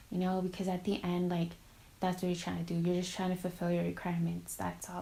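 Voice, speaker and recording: A woman speaks in a fairly low, somewhat breathy voice. Her intonation stays flat and monotone. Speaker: college student vlogger. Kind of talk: casual advice vlog. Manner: filler-heavy casual.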